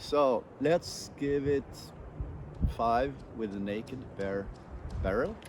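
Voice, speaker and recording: Pausing long and often, a man speaks at a very slow pace with ordinary pitch variation. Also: medium pitch for a man. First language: Swedish. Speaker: airgun shooter, channel host. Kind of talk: solo outdoor commentary while shooting. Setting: outdoors at a shooting range.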